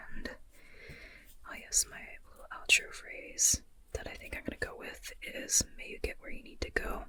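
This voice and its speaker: The speaker is whispering. The pace is moderate. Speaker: ASMR creator and writer. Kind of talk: ASMR whispered chatty talk to camera. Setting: low-budget, as if lying in bed talking. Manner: whispering, chatty, rambling.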